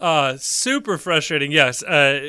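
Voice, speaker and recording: A bright, sharp-toned man at a fairly high pitch and a very slow pace, on a very clean recording with a silent background. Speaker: podcast host. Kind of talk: casual chat.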